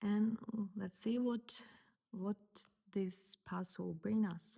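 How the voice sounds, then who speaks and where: At a very slow pace, a woman with a medium pitch talks in a somewhat breathy voice and a monotone, flat intonation. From Ukraine. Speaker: painter. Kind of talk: personal story. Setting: home studio. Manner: halting.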